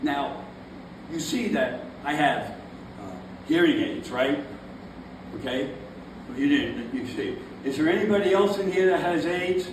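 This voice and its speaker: Noticeable background noise and audible room echo surround a man's high voice as he talks at a fairly slow pace with long, frequent pauses and very wide pitch swings. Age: 70s. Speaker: stand-up comedian. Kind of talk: stand-up. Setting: stage with audience.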